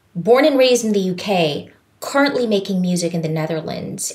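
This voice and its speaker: In a Filipino accent, a woman with a medium pitch speaks in an animated tone with lively intonation, and room echo is audible. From Philippines. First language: Tagalog. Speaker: voice teacher. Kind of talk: podcast interview.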